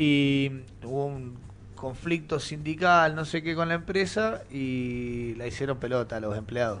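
An unremarkable speaking voice from a man, fairly high in pitch with ordinary pitch variation, at a fairly slow pace. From Mendoza, Argentina (Maipú). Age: 30s. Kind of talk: casual chat.

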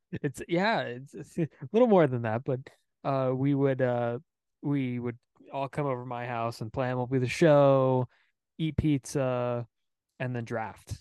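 A man speaks at a fairly slow pace in a medium pitch, his dark, mellow tone and fairly even intonation broken by long, frequent pauses, with a dry, close sound and no echo. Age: 20s. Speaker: baseball podcast host. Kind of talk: casual chat.

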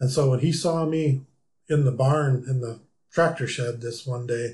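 Dark and mellow in tone, a somewhat breathy man of medium pitch speaks with ordinary pitch variation. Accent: American. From US Midwest, rural South Dakota. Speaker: aviation club member, homebuilt plane builder. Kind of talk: casual interview. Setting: studio.

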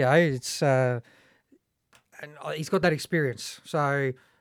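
A man with an Australian accent talks at a moderate pace and fairly high pitch, with fairly even intonation. The sound is dry and close with no echo, on a very clean recording with a silent background. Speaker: former footballer and football coach. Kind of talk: casual panel discussion.

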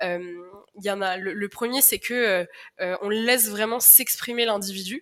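This woman speaks at a fairly slow pace and a medium pitch. Her intonation is fairly even. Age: 20s. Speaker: communications manager at a social startup. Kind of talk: podcast interview. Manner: halting, many fillers.

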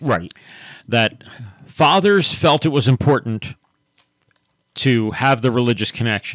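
A man speaks at a fairly slow pace and medium pitch, with lively intonation, long and frequent pauses, and a dry, close sound with no echo. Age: 60s. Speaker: pastor and radio host. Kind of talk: radio talk show discussion with prayer. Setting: radio studio, live broadcast.

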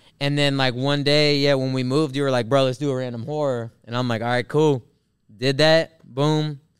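A man with a normal speaking voice talks fairly quickly in a fairly high pitch with fairly even intonation. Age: 30s. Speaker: DJ and podcast co-host. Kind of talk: casual chat.

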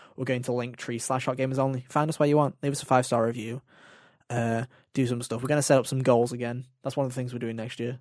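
Very fast and monotone, a man with a British accent speaks at a medium pitch in a very clean recording with a silent background. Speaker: gaming podcast host. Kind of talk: casual chat.

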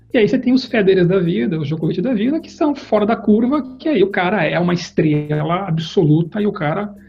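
Music in the background behind a man's high-pitched voice, with lively intonation and a fairly quick pace. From Brazil, Campinas (São Paulo state). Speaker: corporate executive. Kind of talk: interview. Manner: halting, many fillers and repetitions.

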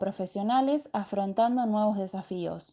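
Dark, mellow female voice with ordinary pitch variation. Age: 20s. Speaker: teacher-training student. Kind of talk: prepared reflective narration.

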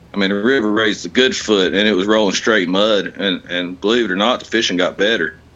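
A man's fairly low voice with an Appalachian accent, bright and sharp in tone, at a very fast pace with fairly even intonation and very even loudness. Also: hardly any pauses. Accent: Appalachian American. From West Virginia. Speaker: kayak tournament angler. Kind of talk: casual interview.

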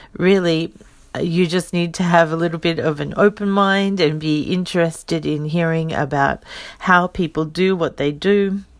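A woman's voice sits fairly low and keeps a fairly even intonation, captured on a very clean recording against a silent background. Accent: Australian. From Australia. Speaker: podcast host and legal translator. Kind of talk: casual solo podcast introduction.

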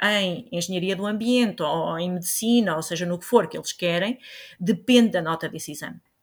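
Ordinary pitch variation marks a woman speaking at a fairly quick pace in an unremarkable speaking voice. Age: 50s. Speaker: biology teacher. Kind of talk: interview answers.

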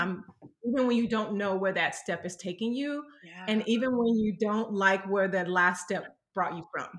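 This woman has an American accent and an unremarkable speaking voice at medium pitch. She keeps a moderate pace with ordinary pitch variation. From US South, Mississippi. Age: 40s. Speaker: pastor's wife. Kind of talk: casual interview.

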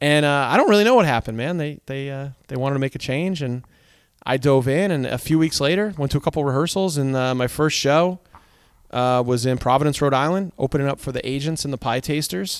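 Speaking fairly quickly, a man has an ordinary speaking voice with a fairly high pitch. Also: ordinary pitch variation. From Connecticut. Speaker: ska band singer. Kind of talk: casual interview. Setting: in a car.

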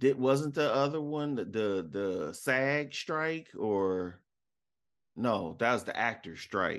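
With an American accent, a man speaks very slowly at a medium pitch, his intonation lively against a quiet background. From Detroit, Michigan. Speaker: podcast co-host. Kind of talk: casual chat. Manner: animated.

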